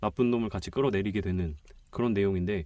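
The man's tone is dark and mellow. Little sound comes from the background. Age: 20s. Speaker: film enthusiast guest, film reviewer. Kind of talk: casual chat. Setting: recording studio.

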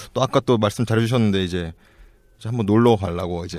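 On a very clean, dry recording with a silent background and no echo, a man talks at a medium pitch. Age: 30s. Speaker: startup founder. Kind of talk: casual chat.

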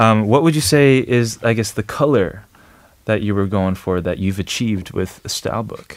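Here a man speaks with a fairly low pitch and ordinary pitch variation. He keeps a moderate pace. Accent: New York. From New York, US. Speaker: radio host. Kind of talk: casual radio chat. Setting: studio with live audience.

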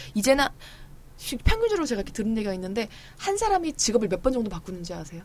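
Speaking at a very fast pace with long, frequent pauses, a woman with a fairly high pitch uses lively intonation over noticeable background noise. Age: 30s. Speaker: young adult novelist. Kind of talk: casual chat.

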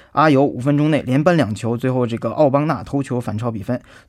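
A man speaks fairly quickly at a medium pitch with ordinary pitch variation, in a very clean recording with a silent background. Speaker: sports commentator. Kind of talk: radio sports news talk. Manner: filler-heavy, hesitant.

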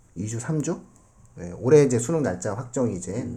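A man's dark, mellow voice is somewhat breathy, set at medium pitch and delivered at a moderate pace. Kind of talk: casual panel discussion with students.

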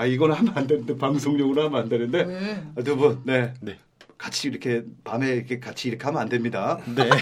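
Speaking at a fairly quick pace, a man uses a medium pitch with ordinary variation. Noticeable background noise is present. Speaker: podcast host. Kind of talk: casual chat. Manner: animated.

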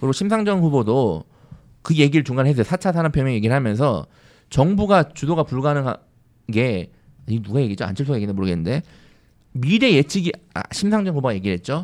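Very fast speech from a man at a fairly high pitch, with very wide pitch swings and long, frequent pauses, on a very clean recording with a silent background. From South Korea, Andong (North Gyeongsang). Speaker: education podcast host. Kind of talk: casual panel discussion on policy.

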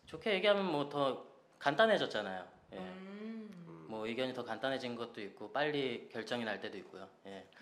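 A man's voice swings widely in both pitch and loudness, with audible room echo. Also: medium pitch for a man, moderate pace. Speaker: singer. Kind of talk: casual radio interview.

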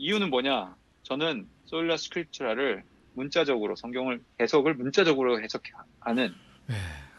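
A man speaks at a moderate pace in a plain, everyday voice, at medium pitch. His intonation is lively, with big swings in loudness. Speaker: pastor and church history lecturer. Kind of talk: lecture-style discussion.

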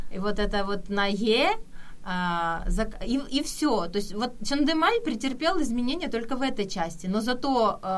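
In an ordinary speaking voice, a woman talks at a fairly slow pace with lively intonation and a fairly high pitch. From Kyiv, Ukraine. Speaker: Korean language helper living in Korea. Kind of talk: casual radio interview.

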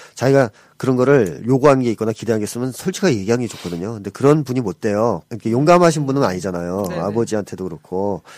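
His pitch is medium. The man rattles along at a very fast pace. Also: lively intonation. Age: 40s. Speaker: psychologist. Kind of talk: counseling advice talk.

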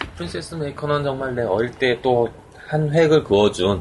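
Noticeable background noise sits behind a man who speaks at a moderate pace and medium pitch with lively intonation. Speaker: podcast co-host. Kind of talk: casual chat.

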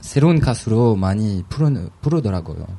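Lively intonation marks this voice with a French accent, heard over noticeable background noise. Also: man. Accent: French accent in Korean. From France. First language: French (speaking Korean). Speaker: graduate student. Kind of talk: casual chat. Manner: halting.

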